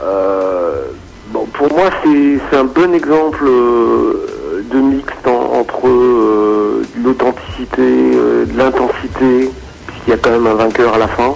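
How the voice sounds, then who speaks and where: Noticeable background noise surrounds a man who speaks at a very slow pace. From Brittany, France (Rennes). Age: 40s. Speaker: basketball media founder. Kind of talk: casual radio interview.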